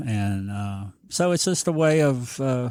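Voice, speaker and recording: A man with a Southern US accent on a very clean recording with a silent background. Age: 60s. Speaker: business owner and former TV personality. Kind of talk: casual chat. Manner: halting, many fillers and repeats.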